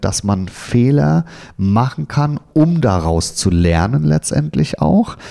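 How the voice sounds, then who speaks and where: Very slowly, a man talks in a dark, mellow tone with very wide pitch swings. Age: 40s. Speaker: customer operations manager and lecturer. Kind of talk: career interview.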